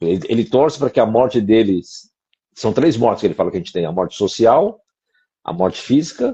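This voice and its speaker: Speaking at a fairly quick pace with long, frequent pauses, a man uses a medium-pitched, somewhat breathy voice. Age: 60s. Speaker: co-host of a discussion show. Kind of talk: casual conversation.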